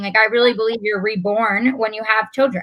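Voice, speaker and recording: On a very clean recording with a silent background, a woman with an American accent speaks at a fairly quick pace in a fairly high, bright, sharp voice. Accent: New York accent, comes and goes. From New York. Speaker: wardrobe stylist and mom influencer. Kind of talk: casual chat.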